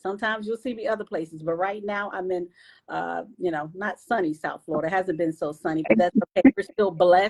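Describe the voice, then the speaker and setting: In a normal speaking voice, a woman of medium pitch talks at a fairly quick pace with ordinary pitch variation, the sound dry and close with no echo. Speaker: live stream host. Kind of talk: live stream chat. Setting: Facebook live stream.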